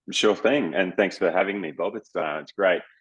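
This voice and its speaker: Speaking with an Australian accent, a man talks at a fairly quick pace. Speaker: business development director at a dental education company. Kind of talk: interview.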